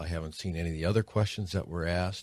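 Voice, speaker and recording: The man's pitch is very deep and low. The recording is very clean, with a silent background. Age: 60s. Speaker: state senator. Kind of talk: radio interview.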